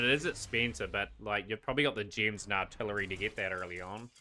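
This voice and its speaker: With a New Zealand accent, a man of fairly low pitch speaks with hardly any pauses and ordinary pitch variation. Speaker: gaming streamer. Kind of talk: live stream commentary while gaming. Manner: casual, with frequent fillers.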